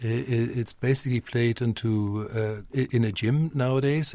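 A man's dark, mellow tone at a medium pitch with fairly even intonation. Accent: German. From Germany, Westphalia. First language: German. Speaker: teacher. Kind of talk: casual chat.

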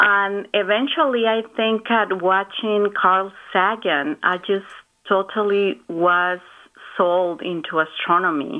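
A woman with a Spanish accent, medium pitch, very even loudness and a very slow pace. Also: ordinary pitch variation. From Mexico, Guadalajara. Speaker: space telescope scientist. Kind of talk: interview.

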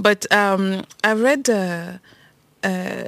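The recording is dry and close, with no echo. A woman speaks at a medium pitch with fairly even intonation. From Cameroon. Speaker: podcast host, feminist activist. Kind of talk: casual chat.

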